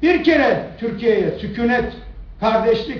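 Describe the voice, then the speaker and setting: Over noticeable background noise and audible room echo, a man with a high pitch talks at a fairly slow pace with lively intonation. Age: 60s. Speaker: politician. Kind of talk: press conference. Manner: animated.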